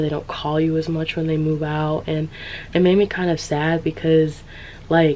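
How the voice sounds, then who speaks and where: Someone speaks with a Californian accent at a moderate pace. Noticeable background noise runs under the voice. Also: woman. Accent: Californian American English. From San Diego, California. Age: 20s. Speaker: podcaster, social commentary creator. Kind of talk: casual commentary talk to camera.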